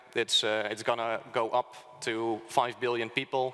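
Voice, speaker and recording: A man with a Dutch accent speaks at a medium pitch. His tone is bright and sharp. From Netherlands. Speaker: think tank speaker. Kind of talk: conference presentation. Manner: halting, many fillers.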